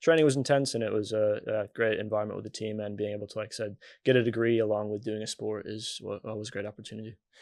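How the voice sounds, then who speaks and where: Against a quiet background, a man with an American accent talks at a medium pitch with monotone, flat intonation. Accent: American, little changed. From US Midwest, Michigan. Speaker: sports physiotherapist. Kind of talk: casual interview.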